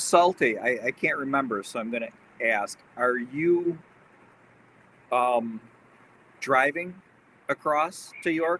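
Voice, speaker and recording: With a fairly high pitch and a bright, sharp tone, a man speaks at a very slow pace with long, frequent pauses, ordinary pitch variation and a dry, close sound with no echo. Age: 60s. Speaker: livestream host, model train hobbyist. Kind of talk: casual chat. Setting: livestream reading chat.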